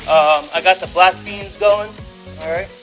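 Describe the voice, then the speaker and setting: Male speech at a moderate pace, with noticeable background noise. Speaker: home cook host. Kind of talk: cooking tutorial. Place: kitchen. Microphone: phone near.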